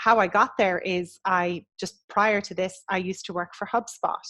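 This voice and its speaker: Moderate pace from a woman with an Irish accent, medium in pitch and fairly even in intonation. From west of Ireland. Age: 40s. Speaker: agency business coach. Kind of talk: podcast interview. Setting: video call.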